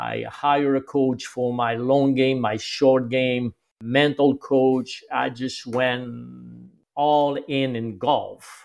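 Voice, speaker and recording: Monotone and flat, a man speaks at a very slow pace and a medium pitch. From Quebec, Canada. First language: French. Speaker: golf instructor. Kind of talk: interview conversation.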